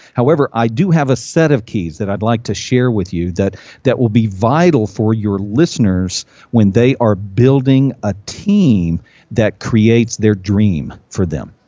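The speaker is a man with a normal speaking voice at medium pitch. His pace is fairly slow, and his pitch variation is ordinary. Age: 50s. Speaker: business consultant and speaker. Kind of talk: interview. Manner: many fillers and repetitions.

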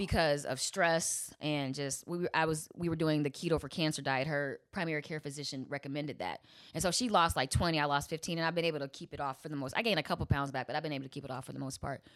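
A very deep, low-pitched woman with an American accent, speaking at a very fast pace in a very clean recording with a silent background. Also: ordinary pitch variation. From Chicago. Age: 40s. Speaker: comedian and lawyer. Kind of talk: casual chat.

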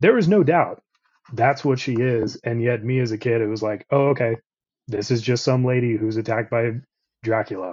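A man speaks at a moderate pace and medium pitch with fairly even intonation. He has a normal speaking voice. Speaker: comic artist and illustrator. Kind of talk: casual chat.

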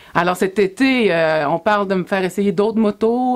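This woman has a plain, everyday voice. Her pitch sits in the medium range and her intonation is lively. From Quebec, Sorel-Tracy. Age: 40s. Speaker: motorcycle adventurer and speaker. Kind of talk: interview.

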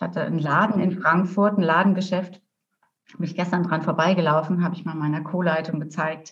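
Fairly quick speech from a woman with a plain, everyday voice, medium in pitch, with fairly even intonation. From rural Germany. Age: 50s. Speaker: coach and therapist. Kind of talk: interview.

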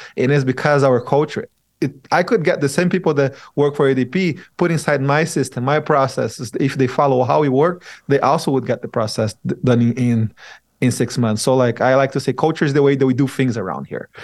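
In a very clean recording with a silent background, a man with a Portuguese accent talks at a fairly quick pace with a fairly high pitch and ordinary pitch variation. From Brazil. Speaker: software firm CEO. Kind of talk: interview.

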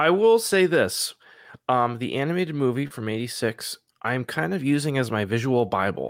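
A man with an unremarkable speaking voice, medium pitch, lively intonation and a moderate pace, on a very clean recording with a silent background. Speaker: comic book artist. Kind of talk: casual chat.

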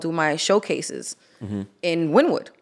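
A woman with a New York accent speaks at a fairly low pitch. The recording is very clean, with a silent background. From Queens, New York. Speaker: artist and former nightlife promoter. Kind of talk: casual chat.

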